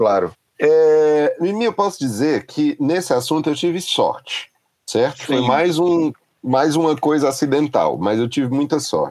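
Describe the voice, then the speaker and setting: A man has a plain, everyday voice with a fairly high pitch. He speaks fairly slowly, with ordinary pitch variation and very even loudness. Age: 40s. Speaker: music journalist and critic. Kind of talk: casual interview.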